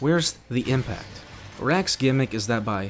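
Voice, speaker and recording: A man at a fairly slow pace with ordinary pitch variation, music playing in the background. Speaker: game reviewer. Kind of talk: video game review narration. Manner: casual, profane.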